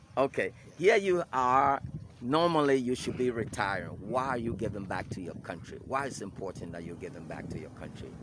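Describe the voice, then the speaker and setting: A man's medium-pitched voice with vocal fry, very wide pitch swings, big swings in loudness and a fairly quick pace. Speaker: news agency director and interviewer. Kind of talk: interview. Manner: hesitant, many fillers.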